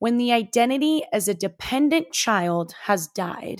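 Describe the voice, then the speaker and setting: An animated tone in a Californian accent at a fairly slow pace, on a very clean recording with a silent background. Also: woman. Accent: general American, Californian. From US West Coast, San Francisco Bay Area. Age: 20s. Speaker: podcast host and coach. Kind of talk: casual monologue.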